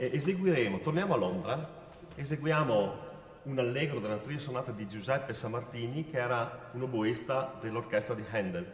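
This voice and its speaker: A man at a medium pitch, with noticeable background noise and audible room echo. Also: lively intonation, moderate pace. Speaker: musician announcing pieces. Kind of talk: concert announcement.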